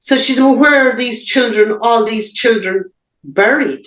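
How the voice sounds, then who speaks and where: Here a woman talks with an Irish accent. Her pitch is fairly high. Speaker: abuse survivor. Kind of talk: interview answer.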